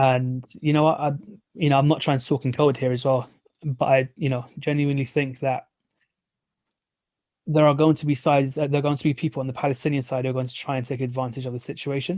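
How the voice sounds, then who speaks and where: Very fast speech comes from a man with a fairly high pitch. His intonation stays monotone and flat. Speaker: poet and open mic host. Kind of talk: spoken word poetry then casual chat. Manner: halting.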